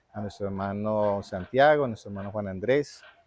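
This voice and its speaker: Pitch variation here is ordinary. The man keeps to a moderate speed. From Colombia, Quindío (Armenia). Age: 50s. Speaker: church member / minister. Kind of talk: interview. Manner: hesitant, many fillers.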